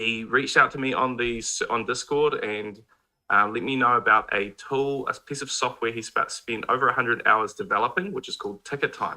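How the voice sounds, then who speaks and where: Speaking at a moderate pace, a man with a New Zealand accent has a bright, sharp tone. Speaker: mobile game YouTuber. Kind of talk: casual chat. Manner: quiet.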